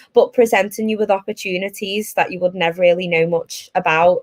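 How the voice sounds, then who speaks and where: A woman talks with a Liverpool accent. Her pace is fairly quick and her intonation fairly even. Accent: Liverpool (Scouse). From northern England, Liverpool. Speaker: tech recruiter. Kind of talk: presentation.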